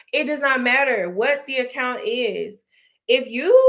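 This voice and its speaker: Loud and animated, a woman with a high pitch speaks with lively intonation, and audible room echo is present. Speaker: credit repair coach. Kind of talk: livestream talk to viewers. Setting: live stream on Instagram and YouTube.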